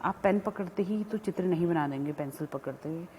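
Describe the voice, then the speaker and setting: With a non-native accent, a woman speaks at a fairly low pitch with ordinary pitch variation. Her voice is somewhat breathy and dark, mellow in tone. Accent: weak Hindi, self-described. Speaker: college lecturer. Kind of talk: lecture. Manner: halting, with fillers.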